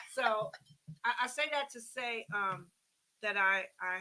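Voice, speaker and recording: At a very slow pace, a woman with a fairly high pitch speaks in a bright, sharp tone. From Oakland, California. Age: 60s. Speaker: community cancer navigator. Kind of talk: radio interview.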